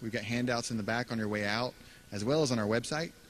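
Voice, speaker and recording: A very fast man with an American accent, medium pitch and noticeable background noise. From Texas. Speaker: toll road company board member. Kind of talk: public meeting presentation. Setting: public meeting with audience. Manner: hesitant, not a practiced speaker.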